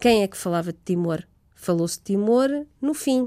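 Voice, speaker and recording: Her dark, mellow tone carries ordinary pitch variation as the woman speaks at a moderate pace. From Portugal. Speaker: human rights researcher. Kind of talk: interview.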